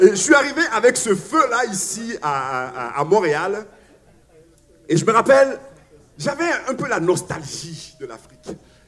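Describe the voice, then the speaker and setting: With long, frequent pauses, a man speaks at a very slow pace in a high pitch, his pitch swinging very widely and his loudness rising and falling sharply amid noticeable background noise. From Africa. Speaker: pastor. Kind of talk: sermon. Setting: church. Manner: hesitant, many fillers and repetitions.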